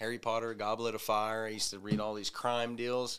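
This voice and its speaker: With a Southern US accent, a man of medium pitch speaks in a bright, sharp tone. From US South, Arkansas. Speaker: recovering addict, softball player. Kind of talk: testimony. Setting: studio.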